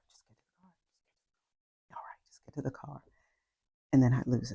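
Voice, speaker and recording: Speaking at a very fast pace, a woman with a very deep, low pitch has vocal fry, a dark, mellow tone and fairly even intonation. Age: 60s. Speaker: wellness coach. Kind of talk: personal testimony. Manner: hesitant, many fillers.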